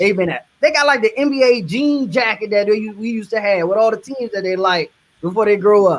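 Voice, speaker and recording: A man speaks in a Southern US accent at a high pitch with ordinary pitch variation. His pace is fairly quick. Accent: Southern twang. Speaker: media industry professional. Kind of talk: casual chat.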